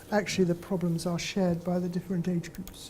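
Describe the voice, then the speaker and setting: A woman's somewhat breathy, medium-pitched voice with a dark, mellow tone and a British accent. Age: 70s. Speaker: professor. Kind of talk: lecture. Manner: hesitant fillers, conversational.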